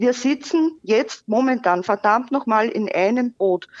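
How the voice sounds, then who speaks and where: A woman with a normal speaking voice speaks at a fairly high pitch with ordinary pitch variation. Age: 40s. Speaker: caller, volunteer fake-news debunker. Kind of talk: phone interview. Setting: phone call.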